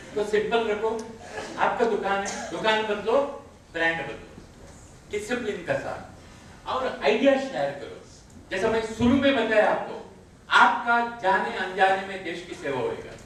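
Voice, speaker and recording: A man's high-pitched voice with ordinary pitch variation and long, frequent pauses, noticeable background noise and audible room echo. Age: 60s. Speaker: network marketing leader. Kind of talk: motivational training talk.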